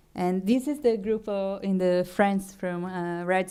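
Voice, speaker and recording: The tone is dark and mellow, with fairly even intonation. The pace is fairly slow. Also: woman. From Brazil. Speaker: food artist and festival director. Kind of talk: conference talk. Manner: halting, many fillers and restarts.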